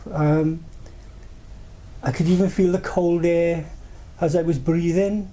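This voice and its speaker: A man with a Welsh accent, high in pitch, with monotone, flat intonation and audible room echo. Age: 70s. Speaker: paranormal experiencer. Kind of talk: interview storytelling. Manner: halting, many repetitions and fillers.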